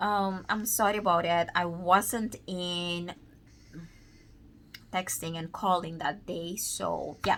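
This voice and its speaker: The recording is very clean with a silent background. The pace is very slow. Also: woman. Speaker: vlogger. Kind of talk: casual vlog monologue. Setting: at home, child sleeping nearby. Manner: loud; halting, many fillers.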